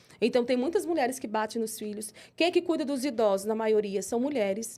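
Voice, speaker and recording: A woman speaks at a high pitch on a very clean recording with a silent background. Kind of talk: interview. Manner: fast; animated.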